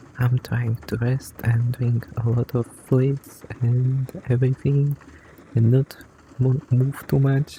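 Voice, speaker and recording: Soft-spoken delivery at a very slow pace. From grew up in a village. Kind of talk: soft-spoken ASMR companion talk.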